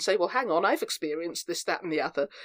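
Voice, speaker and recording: A woman speaks with an English accent in a fairly low pitch. Her intonation is fairly even, and the sound is dry and close with no echo. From England, Devon. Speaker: actor and theatre group founder. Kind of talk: interview. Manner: hesitant, many fillers and restarts.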